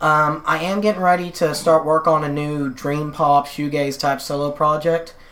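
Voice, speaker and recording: A woman speaks over noticeable background noise. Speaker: musician. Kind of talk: casual interview chat.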